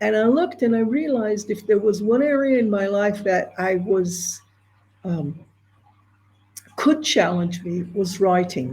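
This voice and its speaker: A somewhat breathy, dark, mellow tone with lively intonation, at a fairly slow pace with long, frequent pauses. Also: woman, medium pitch for a woman. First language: Hebrew. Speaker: entrepreneur and screenwriter. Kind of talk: interview.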